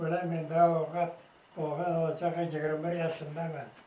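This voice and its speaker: The voice is monotone and flat, at a fairly slow pace. Audible room echo and noticeable background noise come through. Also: man. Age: 90s. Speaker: war veteran. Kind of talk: testimony. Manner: halting.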